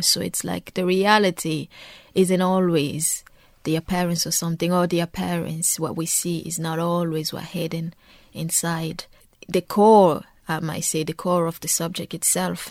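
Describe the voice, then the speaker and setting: In a very clean recording with a silent background, a woman with a French accent speaks at a moderate pace in a fairly low, monotone voice with flat intonation. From Democratic Republic of Congo. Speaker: poet and law student. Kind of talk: interview with poetry readings. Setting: radio studio.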